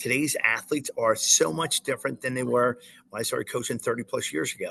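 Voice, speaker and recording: A man speaks at a fairly quick pace. The sound is dry and close with no echo, and background noise is noticeable. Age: 60s. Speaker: college soccer coach and school teacher. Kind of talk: interview. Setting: remote interview from outside a classroom. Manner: halting, many repeated words.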